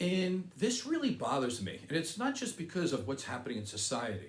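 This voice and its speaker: With audible room echo, a somewhat breathy man talks at a moderate pace, his pitch making very wide swings. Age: 60s. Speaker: political commentary video host. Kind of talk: opinion monologue.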